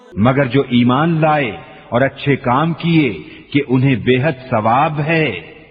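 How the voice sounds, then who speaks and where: Very slow speech from a man with a fairly high voice, fairly even intonation and very even loudness, with music in the background. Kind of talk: read translation of scripture.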